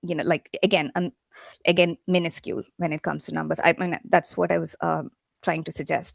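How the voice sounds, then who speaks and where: The speaker talks fairly quickly with a Keralan accent. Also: woman, dry, close sound with no echo. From India, Kerala. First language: Malayalam. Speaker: literary translator and English professor. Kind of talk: academic lecture. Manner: halting, many fillers.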